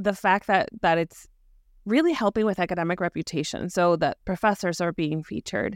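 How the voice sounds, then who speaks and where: Recorded very cleanly with a silent background and a dry, close sound with no echo, a woman with an unremarkable speaking voice talks at a fairly quick pace, at medium pitch with ordinary pitch variation. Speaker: podcast host. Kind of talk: interview with promo reads.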